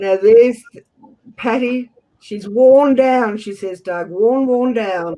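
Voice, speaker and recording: A man with an Australian accent talks at a very slow pace, his pitch extremely high with ordinary variation. His tone is dark and mellow, and his loudness swings a lot. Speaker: auction host. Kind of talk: live auction calling.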